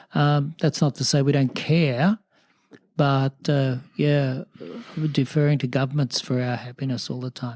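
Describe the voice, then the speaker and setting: On a dry, close sound with no echo, a man with an Australian accent talks at a fairly slow pace, his fairly high pitch held in fairly even intonation. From rural New South Wales, Australia. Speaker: mayor and church minister. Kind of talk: interview answer. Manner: hesitant, reflective.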